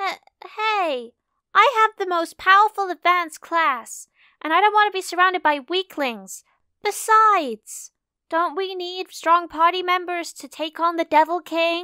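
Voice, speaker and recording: A woman speaks in a put-on character voice at a moderate pace. Her pitch is extremely high. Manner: haughty, defensive, loud.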